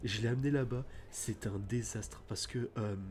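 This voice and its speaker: A man speaks quietly with vocal fry. His intonation is fairly even. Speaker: gaming streamer. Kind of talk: casual let's play commentary. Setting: at home at night, thin walls. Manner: speaking quietly at night.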